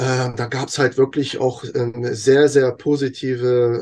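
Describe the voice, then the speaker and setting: A man talks at a very slow pace in a dark, mellow tone, somewhat breathy and monotone, against a quiet background. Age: 40s. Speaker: content creator. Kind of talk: interview.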